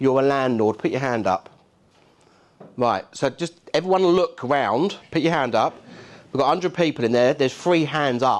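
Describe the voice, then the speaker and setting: Speaking at a moderate pace with a Cockney accent, a man uses a fairly high voice and takes long, frequent pauses. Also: lively intonation. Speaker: keynote speaker, landlord and housing expert. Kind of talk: conference keynote talk. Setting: stage with audience. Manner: animated, conversational.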